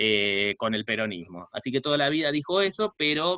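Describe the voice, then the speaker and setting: A man is speaking. His pace is moderate. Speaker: sociology professor and researcher. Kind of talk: online talk/lecture. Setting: video call. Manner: hesitant, many filler 'eh'.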